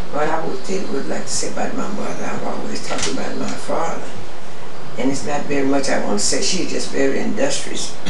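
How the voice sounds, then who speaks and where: A woman speaks at a fairly quick pace with an American accent. Loud background noise and audible room echo fill the recording. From Rosenberg, Texas, USA. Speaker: storyteller recalling family history. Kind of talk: oral history interview answer. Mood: calm, proud reminiscing. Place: home room.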